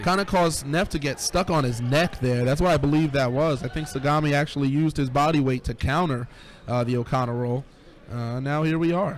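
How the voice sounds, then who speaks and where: An ordinary speaking voice, fairly quick in pace and ordinary in pitch variation. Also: man, fairly high pitch for a man. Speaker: wrestling commentator. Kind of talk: wrestling play-by-play commentary.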